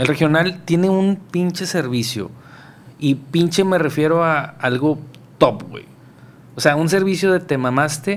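Speaking with long, frequent pauses, a man uses a fairly high pitch and ordinary pitch variation. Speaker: podcast host. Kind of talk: casual chat.

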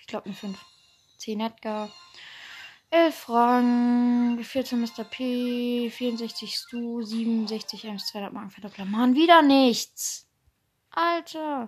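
A woman speaks at a high pitch and a very slow pace, with ordinary pitch variation, big swings in loudness and long, frequent pauses. Music plays in the background. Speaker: gaming podcaster. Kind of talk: live gameplay commentary. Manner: animated.

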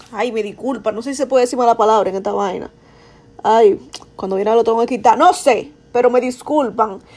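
Speaking in a Dominican accent, a woman with a high pitch sounds animated at a moderate pace. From Dominican Republic. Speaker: podcaster. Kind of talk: casual monologue.

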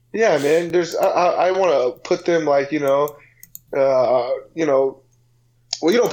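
Against a quiet background, a man with an American accent speaks at a moderate pace with ordinary pitch variation. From San Diego, US West Coast. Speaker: personal trainer, podcast co-host. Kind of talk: casual chat.

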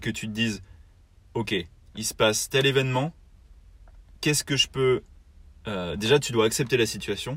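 A man's voice, showing ordinary pitch variation, comes through a very clean recording with a silent background. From southern France. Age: young. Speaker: podcast co-host, naval construction project manager. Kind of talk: casual chat. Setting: in a car. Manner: hesitant, many repetitions.

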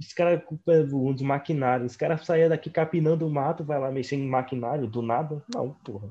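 A man with a fairly high pitch speaks fairly quickly with hardly any pauses. His voice is dark, mellow and somewhat breathy, with ordinary pitch variation. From Northeast Brazil. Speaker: podcast co-host. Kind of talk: casual chat.

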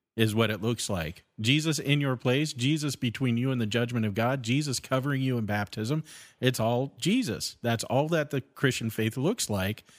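In an ordinary speaking voice, a man talks at a moderate pace with medium pitch and ordinary pitch variation, captured on a very clean recording with a silent background. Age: 40s. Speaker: podcast co-host. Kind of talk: casual chat about theology.

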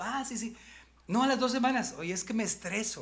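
A man talks at a moderate pace. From Mexico, Monterrey (Nuevo León). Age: 50s. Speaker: comedian and motivational speaker. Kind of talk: casual chat.

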